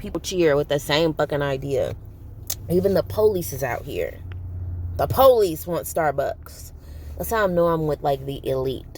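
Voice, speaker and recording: A woman at a moderate pace, animated in tone, with long, frequent pauses. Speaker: vlogger. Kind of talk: casual vlog monologue.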